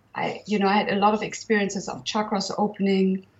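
A woman's somewhat breathy voice with a German accent, medium in pitch and moderate in pace. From northern Germany. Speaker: herbalist and healer. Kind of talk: interview conversation.

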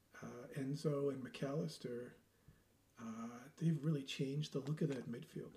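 Speaking at a moderate pace with long, frequent pauses, a man has a fairly high pitch, ordinary pitch variation, a dark, mellow tone and a somewhat breathy quality. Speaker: football podcast host. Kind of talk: casual chat about football.

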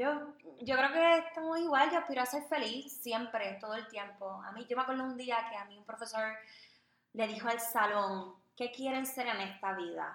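Her pitch is fairly high, and she is a woman whose loudness swings widely. Audible room echo surrounds the voice. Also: ordinary pitch variation, moderate pace. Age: 20s. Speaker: podcast co-host, communications graduate. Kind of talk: casual chat.

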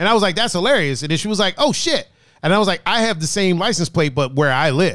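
A man at high pitch, animated and very fast, on a very clean recording with a silent background. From outside US, moved to US East Coast. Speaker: podcast host. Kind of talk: casual banter podcast. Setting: studio. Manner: animated, joking.

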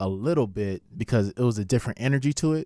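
A man's medium-pitched, normal speaking voice in an American accent, with lively intonation and a dry, close sound with no echo. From Los Angeles (Carson, Lynwood). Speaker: stand-up comedian. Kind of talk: casual chat.

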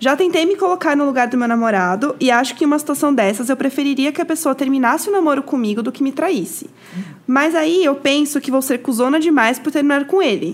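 Fairly quick talk with lively intonation against noticeable background noise. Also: woman, high pitch for a woman. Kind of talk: casual chat.

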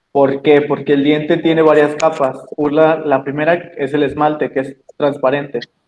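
This man has a fairly high pitch and moves at a moderate pace. Everything he says comes out monotone and flat. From Mexico, Jalisco. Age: 20s. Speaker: dental intern. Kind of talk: interview. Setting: video call.

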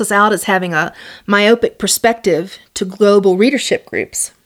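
A woman speaks in a plain, everyday voice at medium pitch and a fairly quick pace. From US South. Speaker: academic author. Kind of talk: lecture.

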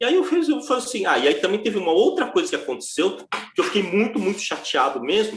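A man at a fairly quick pace. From foreign-born, not Brazilian. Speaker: derivatives trader and teacher. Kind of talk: casual interview chat.

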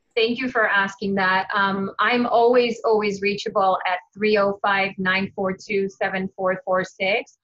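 A woman talks at a very slow pace with hardly any pauses. Her intonation is monotone and flat. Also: medium pitch for a woman. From Israel. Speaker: realtor. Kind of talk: interview.

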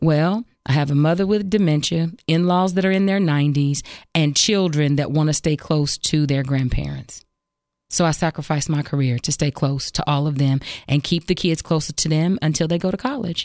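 This woman's voice sits very deep and low, with ordinary pitch variation at a moderate pace, on a very clean recording with a silent background. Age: 40s. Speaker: radio host. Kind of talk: casual chat.

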